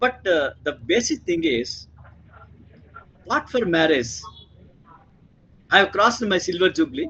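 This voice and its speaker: In a raised, projected voice, a man speaks at a high pitch with very wide pitch swings. His pace is moderate, broken by long, frequent pauses. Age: 70s. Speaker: retired professor. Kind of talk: panel discussion.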